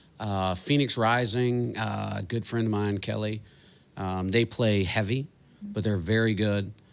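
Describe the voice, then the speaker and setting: Here a man speaks at a fairly slow pace. His intonation stays fairly even. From Colorado. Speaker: podcast host. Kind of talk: casual chat.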